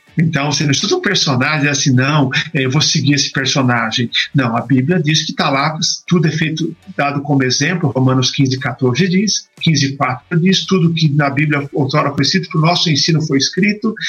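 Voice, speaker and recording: The speaker keeps a moderate pace, very even loudness and ordinary pitch variation. Music plays in the background. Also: man, fairly high pitch for a man. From Brazil, São Paulo ABC region. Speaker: pastor. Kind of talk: interview on Bible study. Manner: dynamic.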